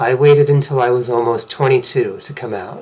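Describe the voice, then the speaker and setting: A man with an American accent speaks in an ordinary speaking voice at a moderate pace and a medium pitch. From Massachusetts, US. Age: 40s. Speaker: vlogger sharing personal story. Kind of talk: personal testimony.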